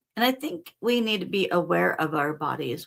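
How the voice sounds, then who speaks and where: Speaking at a moderate pace, a woman has an unremarkable speaking voice with a medium pitch. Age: 60s. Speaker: spiritual teacher. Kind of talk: casual spiritual talk show.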